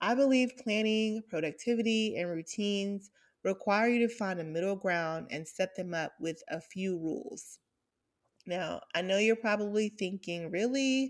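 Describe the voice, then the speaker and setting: A woman with an American accent speaks in a plain, everyday voice at a medium pitch, with ordinary pitch variation. Her pace is moderate, and the recording is very clean with a silent background. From US South, Atlanta. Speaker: podcast host. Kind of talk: casual chat. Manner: upbeat.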